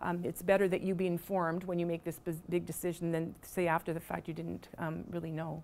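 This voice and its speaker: A woman talks at a fairly quick pace with hardly any pauses. Her pitch is fairly low and her intonation is monotone and flat. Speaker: pharmacy college faculty presenter. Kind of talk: information session presentation with Q&A. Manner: fast; halting, many fillers.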